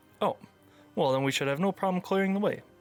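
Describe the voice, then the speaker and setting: A man puts on a high-pitched character voice and talks at a very fast pace. His intonation is lively, while his loudness stays very even. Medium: actual play. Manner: over-formal, old-fashioned.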